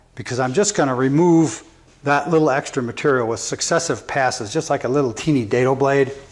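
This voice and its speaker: Over noticeable background noise, a man speaks at a fairly quick pace in a fairly high pitch, with ordinary variation in pitch. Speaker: carpenter. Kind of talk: tutorial. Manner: casual, thinking aloud.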